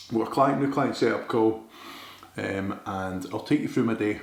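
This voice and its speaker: Over noticeable background noise and audible room echo, a man speaks very fast at a fairly low pitch. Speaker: bodybuilder and online coach. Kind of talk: vlog, casual talk to camera. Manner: casual, swears freely.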